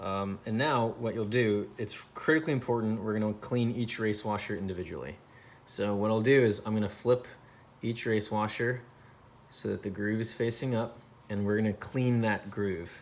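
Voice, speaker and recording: A man speaks in a fairly low pitch. His intonation stays fairly even. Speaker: balisong trainer maker demonstrating maintenance. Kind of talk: tutorial. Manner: fast.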